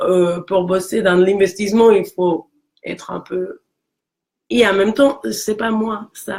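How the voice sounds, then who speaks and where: At a very slow pace with long, frequent pauses, a woman talks at a medium pitch with ordinary pitch variation. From Mexico. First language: Spanish (speaking French). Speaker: career coach. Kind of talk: casual chat. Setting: live video stream.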